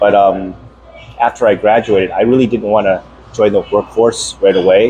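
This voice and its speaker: Music plays in the background as a man speaks. He has a Taiwanese accent and a moderate pace. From US, moved from Taiwan as infant. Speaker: program alumnus. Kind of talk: casual chat. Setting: at a friend's home.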